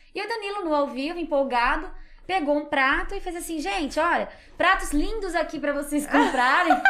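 A woman speaks at an extremely high pitch and a moderate pace with ordinary pitch variation. There is audible room echo along with noticeable background noise. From Brazil, Minas Gerais and São Paulo interior. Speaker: psychologist and communicator, podcast guest. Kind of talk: casual interview chat.

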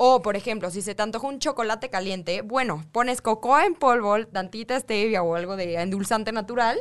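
A woman with an unremarkable speaking voice talks at a fairly quick pace with hardly any pauses, a fairly high pitch and ordinary pitch variation. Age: 20s. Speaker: nutritionist. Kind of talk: radio interview.

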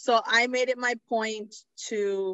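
The pace is very slow as a woman speaks. Her pitch shows ordinary variation. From New York City (the Bronx), Puerto Rican parents. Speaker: podcast host. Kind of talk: casual chat.

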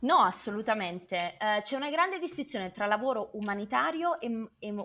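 Very wide pitch swings from a fairly high-pitched woman at a moderate pace. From southern Italy, Naples. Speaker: renewable energy professional. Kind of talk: interview.

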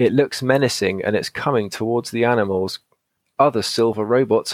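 With a quiet background, the speaker reads aloud in a natural voice, the pitch moving in an ordinary way.

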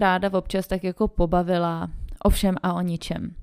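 An unremarkable speaking voice goes at a fairly slow pace in a very clean recording with a silent background. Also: woman. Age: 20s. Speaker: podcast host, mother. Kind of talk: casual solo monologue.

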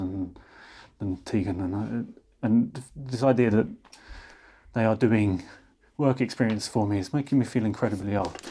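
A man with a southern English accent speaks at a medium pitch with ordinary variation and a moderate pace. His tone is dark and mellow, in a very clean recording with a silent background. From London. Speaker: podcast host. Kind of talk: interview conversation.

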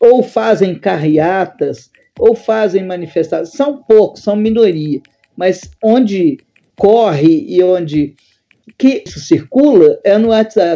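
Speaking very slowly, a woman uses a medium-pitched voice with a dark, mellow tone and lively intonation. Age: 60s. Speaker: professor. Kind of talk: casual chat. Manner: halting.

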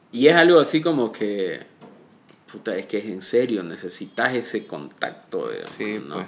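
At a fairly slow pace, a man with a medium pitch speaks with very wide pitch swings and big swings in loudness. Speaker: podcast host. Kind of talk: casual interview. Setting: in person, recorded together.

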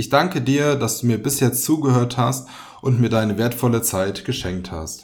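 A man with a medium pitch speaks at a fairly slow pace. His voice is somewhat breathy, with lively intonation. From Germany, Fulda (Hesse). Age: 20s. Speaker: podcast host. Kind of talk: scripted podcast intro monologue. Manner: casual, joking.

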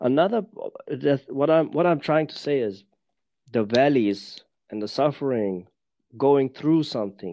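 Against a quiet background, a man with a German accent speaks at a fairly slow pace in a fairly high pitch with a dark, mellow tone, lively intonation, big swings in loudness and long, frequent pauses. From Germany. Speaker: embodiment teacher. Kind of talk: casual interview chat. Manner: halting, searching for words.

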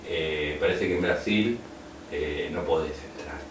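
A man speaks with a Rioplatense accent at a fairly slow pace, his pitch swinging very widely. Audible room echo and noticeable background noise are present. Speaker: radio co-host. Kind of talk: casual chat.

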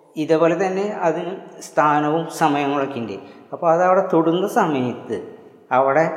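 A man's voice has ordinary pitch variation, heard with audible room echo. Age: old. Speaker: homeopathy doctor and martial arts teacher. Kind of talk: video lecture. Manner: halting.

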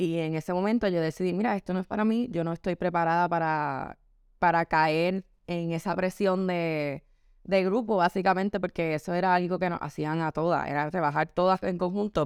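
A woman with a Puerto Rican accent, fairly low in pitch, at a moderate pace with fairly even intonation, in a dry, close sound with no echo on a very clean recording with a silent background. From Puerto Rico. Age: 20s. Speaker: model and beauty pageant contestant. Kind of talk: interview testimony.

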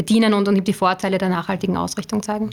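A woman's voice at a medium pitch. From Upper Austria. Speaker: strategic communications manager. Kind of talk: podcast interview. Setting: studio.

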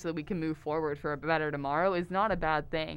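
A woman with an American accent has an ordinary speaking voice, fairly low in pitch. She talks at a fairly quick pace against a quiet background. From Texas, Houston area. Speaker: theater lighting design student. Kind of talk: casual chat. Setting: studio.

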